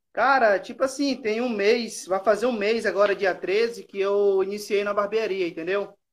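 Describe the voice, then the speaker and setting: A man with a high pitch speaks at a moderate pace with fairly even intonation and hardly any pauses. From Espírito Santo, Brazil. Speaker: novice barber. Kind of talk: casual chat.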